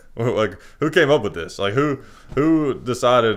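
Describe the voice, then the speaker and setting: A man uses a normal speaking voice with lively intonation. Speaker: radio show host. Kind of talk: casual podcast conversation.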